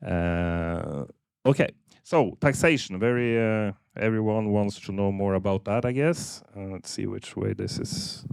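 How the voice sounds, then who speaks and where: A man speaks at a fairly slow pace in a fairly low pitch. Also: lively intonation. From Norway, Polish-born. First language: Norwegian. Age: 50s. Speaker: accounting firm CEO. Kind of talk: seminar presentation.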